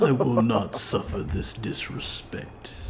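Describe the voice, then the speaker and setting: A man puts on a character voice and speaks fairly slowly. Clear background noise can be heard. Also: medium pitch for a man. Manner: fake-cool, put-on tough voice.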